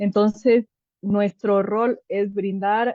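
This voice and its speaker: Fairly level intonation from a woman, her pitch mid-range. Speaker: clinical psychologist with a humanitarian medical NGO. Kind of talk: online workshop lecture. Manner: hesitant fillers.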